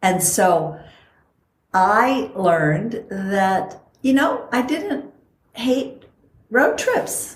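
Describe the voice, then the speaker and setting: A woman's fairly high, somewhat breathy voice with lively intonation and very even loudness, at a very slow pace with long, frequent pauses, in audible room echo. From Costa Rica. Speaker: podcast host and longevity coach. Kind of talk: casual chat.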